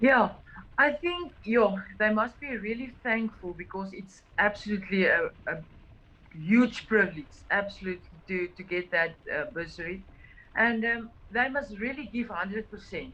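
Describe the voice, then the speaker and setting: Speaking at a moderate pace with an Afrikaans South African accent, a woman uses a fairly high pitch and big swings in loudness. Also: lively intonation. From South Africa, Klein Karoo (Oudtshoorn). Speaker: cyclist on a charity ride. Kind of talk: interview. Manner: halting.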